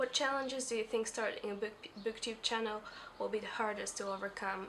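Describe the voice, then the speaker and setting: A woman at a fairly high pitch and moderate pace, fairly even in intonation, over noticeable background noise. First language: not English. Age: 20s. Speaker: book vlogger. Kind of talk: casual talk to camera. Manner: mumbling, hesitant.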